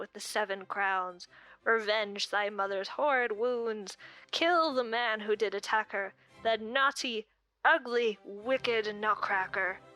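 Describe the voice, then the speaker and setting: In a squeaky put-on character voice, a woman speaks fairly slowly at a fairly high pitch, recorded with a dry, close sound and no echo. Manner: piteous, pleading.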